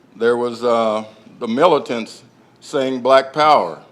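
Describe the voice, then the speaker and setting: This voice carries an American accent. The pace is fairly slow. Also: man. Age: 60s. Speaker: family member speaking at memorial event. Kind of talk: public speech. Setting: public library event with audience. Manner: halting.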